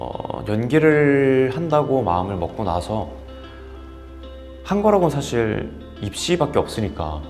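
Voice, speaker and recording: A man speaks very slowly, his pitch swinging very widely. Long, frequent pauses break up his speech over background music. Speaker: actor. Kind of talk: interview answer.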